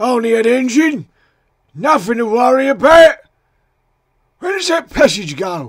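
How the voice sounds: Big pitch swings run through this put-on character voice. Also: man, extremely high pitch for a man, fairly slow pace.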